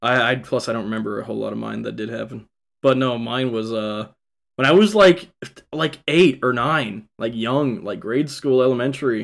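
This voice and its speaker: A man with an American accent and a normal speaking voice talks at a moderate pace, using a medium pitch and ordinary pitch variation. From Kansas and Texas. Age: 20s. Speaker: podcast co-host. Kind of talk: casual chat.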